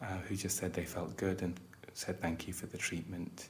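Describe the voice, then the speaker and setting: A man's calm, somewhat breathy voice with a British accent, very deep and low in pitch, with fairly even intonation. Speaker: psychiatrist lecturer training tour guides (role-play). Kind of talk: educational roleplay lecture. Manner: calm, soft-spoken, conversational ASMR.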